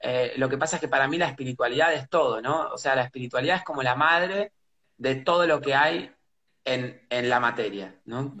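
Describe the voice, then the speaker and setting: This man speaks with a Rioplatense accent at a fairly high pitch. His pitch varies in an ordinary way, and his pace is moderate. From Buenos Aires, Argentina. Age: 30s. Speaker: pianist and composer. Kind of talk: casual interview. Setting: live video stream. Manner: halting, repeats words.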